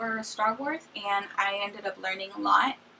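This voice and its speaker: Over noticeable background noise, a woman with a medium pitch talks at a moderate pace. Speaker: YouTuber, recent college graduate. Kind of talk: casual vlog Q&A.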